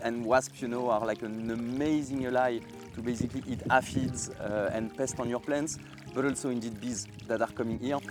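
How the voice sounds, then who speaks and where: Over music in the background, a man speaks with a French accent at a medium pitch and moderate pace, using ordinary pitch variation. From France. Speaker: gardener. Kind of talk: guided garden tour. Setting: outdoors in garden.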